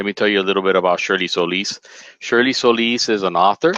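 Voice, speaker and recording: A man's bright, sharp voice at a moderate pace with ordinary pitch variation, dry and close with no echo over a quiet background. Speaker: spouse introducing the presenter. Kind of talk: live webinar introduction. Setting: webinar recording with headset mic. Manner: animated.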